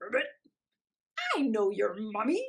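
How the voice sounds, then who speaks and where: The voice is croaky. It is a put-on character voice. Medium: read story. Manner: croaks ribbit between phrases.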